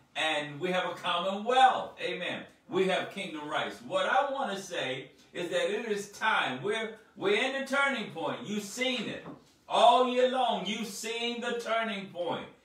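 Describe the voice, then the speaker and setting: A man speaks at a fairly slow pace, with audible room echo around him. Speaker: speaker. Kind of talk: sermon. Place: home room.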